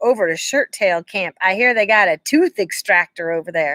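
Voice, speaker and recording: This is a gravelly, put-on character voice. It moves at a moderate pace. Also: female-sounding voice, medium pitch for a woman. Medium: read story. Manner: curt, hurried.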